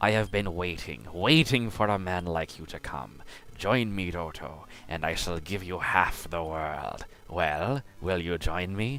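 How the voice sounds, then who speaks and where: A man does a put-on character voice, very deep and low, with lively intonation. He goes at a fairly slow pace over clear background noise. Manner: grandiose, tempting.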